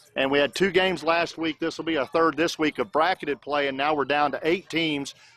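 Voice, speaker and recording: A man with a fairly high pitch and an American accent speaks at a moderate pace with ordinary pitch variation, in a dry, close recording with no echo and music in the background. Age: 60s. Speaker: youth baseball livestream commentator. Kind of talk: live commentary. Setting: outdoors at a ballfield. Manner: conversational, with many fillers.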